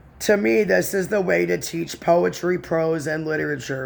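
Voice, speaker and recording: This man talks at a moderate pace in a fairly high pitch. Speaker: spiritual video blogger. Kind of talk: reading aloud with personal commentary. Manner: calmer than before.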